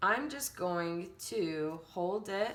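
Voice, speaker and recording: A woman's medium-pitched voice with ordinary pitch variation and audible room echo. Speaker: elementary art teacher. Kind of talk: tutorial.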